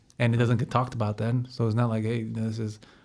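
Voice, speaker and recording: In a very clean recording with a silent background, a man with an ordinary speaking voice talks at a fairly quick pace and medium pitch. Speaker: podcast host. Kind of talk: casual interview.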